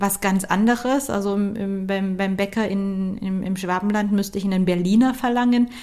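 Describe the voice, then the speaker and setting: A woman speaks fairly slowly in a dark, mellow tone. Her pitch is fairly high and her intonation fairly even. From Saxony, Dresden. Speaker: career coach and podcast host. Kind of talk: solo podcast talk.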